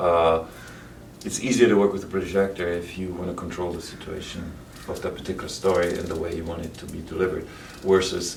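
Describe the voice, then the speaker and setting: Over noticeable background noise and audible room echo, a man with a very deep, low pitch talks at a fairly quick pace in monotone, flat intonation, with big swings in loudness. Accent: German. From Germany. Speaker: actor and bodybuilder. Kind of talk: casual interview chat.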